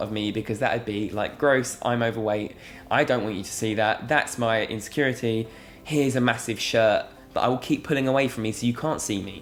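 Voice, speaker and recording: In a British accent, a man at a medium pitch speaks at a fairly quick pace with fairly even intonation. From England. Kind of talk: casual talk to camera. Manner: earnest, reflective.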